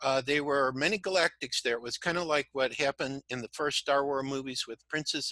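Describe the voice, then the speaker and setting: A man with a bright, sharp tone speaks at a medium pitch and a fairly quick pace, with fairly even intonation and a dry, close sound with no echo. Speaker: crystal skull researcher and spiritual speaker. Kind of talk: interview. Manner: fast.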